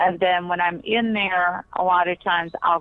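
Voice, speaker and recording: With an American accent and a plain, everyday voice, a woman speaks at a fairly low pitch and a fairly slow pace, her intonation fairly even. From Pennsylvania. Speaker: psychic private investigator. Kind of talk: interview.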